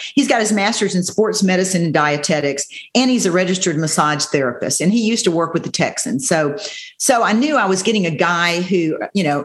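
A woman with a normal speaking voice talks at a moderate pace, her medium pitch carried by lively intonation. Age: 60s. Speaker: bodybuilding competitor. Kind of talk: interview.

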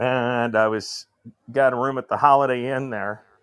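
A man with a plain, everyday voice speaks at a moderate pace in a medium pitch. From northern Indiana. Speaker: caller. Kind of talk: casual chat.

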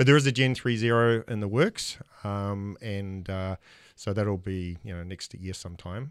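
On a very clean recording with a silent background, a man with an American accent speaks at a moderate pace and fairly low pitch with ordinary pitch variation. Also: big swings in loudness. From New Zealand. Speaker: outdoor workwear company sales and marketing director. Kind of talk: casual podcast interview. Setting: studio.

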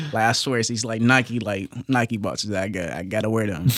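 This man talks at a very fast pace in an American accent, his pitch fairly low and his intonation fairly even. Noticeable background noise runs beneath his voice. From Kentucky, Hopkinsville. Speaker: college football player. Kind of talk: casual chat.

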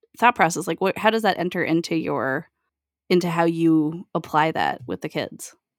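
In a very clean recording with a silent background and a dry, close sound with no echo, a woman with an unremarkable speaking voice and fairly low pitch talks at a moderate pace. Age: 30s. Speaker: podcast host. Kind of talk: casual chat.

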